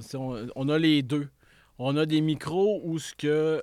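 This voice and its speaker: Recorded very cleanly against a silent background, a man with a Quebec accent speaks at a fairly high pitch with ordinary pitch variation. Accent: Québécois French. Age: 40s. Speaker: entrepreneur. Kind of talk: casual interview.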